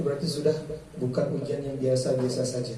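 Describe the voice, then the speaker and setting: Amid noticeable background noise and audible room echo, a man talks with fairly even intonation. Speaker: Islamic preacher. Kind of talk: religious study lecture. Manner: conversational, questions to audience.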